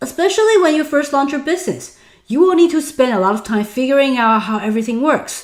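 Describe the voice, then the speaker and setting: Using a high pitch with very wide pitch swings, a woman with a Taiwanese accent speaks at a fairly quick pace. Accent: Taiwanese Mandarin. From Taiwan, then Los Angeles from age 14. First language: Mandarin. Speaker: online business instructor. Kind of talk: webinar. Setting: online webinar.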